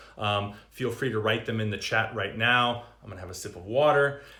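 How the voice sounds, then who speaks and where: A medium-pitched man at a fairly quick pace, with audible room echo. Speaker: yoga and meditation teacher. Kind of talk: livestream dharma talk. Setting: Instagram live stream. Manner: animated.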